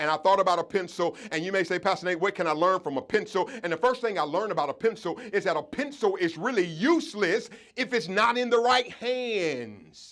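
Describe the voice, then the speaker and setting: An animated tone in a Southern US accent, with lively intonation and a fairly quick pace. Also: man, high pitch for a man, hardly any pauses. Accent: Southern country. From Georgia, US South. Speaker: pastor, keynote speaker. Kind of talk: motivational speech at awards ceremony. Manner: animated, preacher-like.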